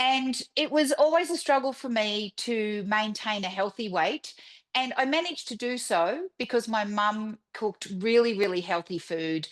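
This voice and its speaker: Lively intonation marks this woman's fairly high voice, heard in an Australian accent. She keeps a moderate pace against a quiet background. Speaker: author. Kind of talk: casual interview.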